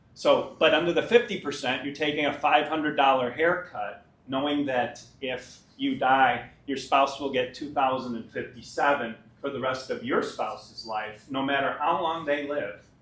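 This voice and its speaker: A man's fairly high voice at a moderate pace with ordinary pitch variation and hardly any pauses, plus audible room echo and noticeable background noise. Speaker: pension fund administrator. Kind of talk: presentation to union members.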